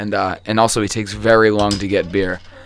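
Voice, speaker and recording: A man speaks very fast in a fairly low pitch. Noticeable background noise is audible. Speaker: podcast host. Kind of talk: casual chat.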